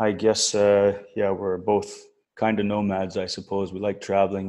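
In a very clean recording with a silent background, a man with an Albertan accent speaks at a moderate pace and a fairly low pitch. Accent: Canadian (Alberta). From northern Alberta, Canada. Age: 40s. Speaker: expat oil and gas worker. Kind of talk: casual interview. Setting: call.

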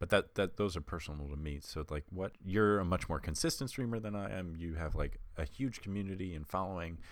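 A man speaks at a fairly quick pace in a very deep, low voice with ordinary pitch variation. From Long Island. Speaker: podcast co-host. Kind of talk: casual chat.

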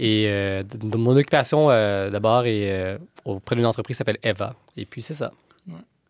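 At a fairly slow pace, a man with a plain, everyday voice speaks at a fairly low pitch, with ordinary pitch variation and big swings in loudness. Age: 20s. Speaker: political science student. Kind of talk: panel discussion.

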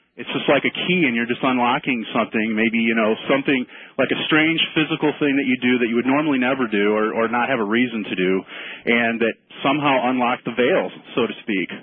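A normal speaking voice: a man at medium pitch, ordinary pitch variation, and a fairly quick pace. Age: 30s. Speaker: caller. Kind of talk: phone-in story. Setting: phone call.

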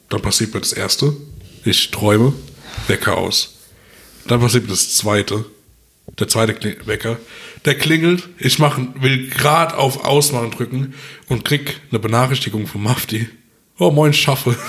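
At a moderate pace and medium pitch, a man speaks with ordinary pitch variation and long, frequent pauses. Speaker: podcast co-host. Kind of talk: casual chat. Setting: at home at his dining table.

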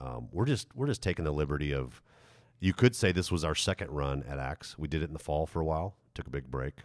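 The speech comes at a very fast pace with vocal fry and ordinary pitch variation, in a dry, close sound with no echo on a very clean recording with a silent background. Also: man, very deep, low pitch for a man. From USA, teen years in Germany. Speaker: pastor. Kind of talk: casual chat.

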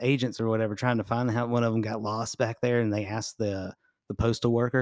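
With an American accent, a man talks in a flat monotone at a medium pitch. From Jacksonville area, Florida. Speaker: podcast co-host. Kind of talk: casual chat.

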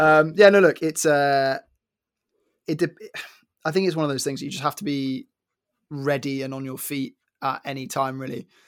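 With a southern English accent, a man talks at a moderate pace in a fairly high voice with fairly even intonation, on a very clean recording with a silent background. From London. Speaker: former tennis player and podcaster. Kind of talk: casual chat.

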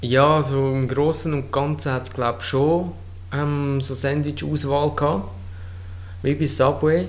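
With long, frequent pauses and a very slow pace, a man speaks in a fairly high voice with ordinary pitch variation, over background music and audible room echo. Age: 30s. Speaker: podcast co-host, streamer. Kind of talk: casual chat. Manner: halting.

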